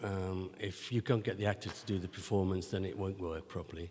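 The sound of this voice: Fairly even intonation from a man with a low pitch. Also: slightly mellow tone.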